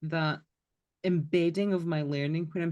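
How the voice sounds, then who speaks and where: In a Scottish accent, a woman speaks fairly slowly in a dark, mellow tone with monotone, flat intonation. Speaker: podcast co-host. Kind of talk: casual chat.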